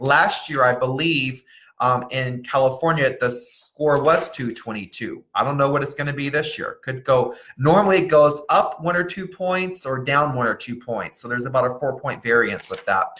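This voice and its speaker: In a plain, everyday voice, the speaker talks at a moderate pace with ordinary pitch variation. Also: man, fairly high pitch for a man. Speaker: college planning consultant. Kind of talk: live webinar presentation. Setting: Facebook Live stream.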